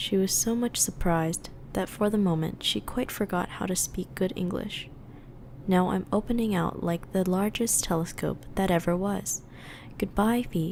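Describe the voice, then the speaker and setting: A woman talks in an ordinary speaking voice at a fairly slow pace, medium in pitch with ordinary pitch variation. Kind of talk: ASMR book reading, meditative. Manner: soft-spoken, whispered, relaxing.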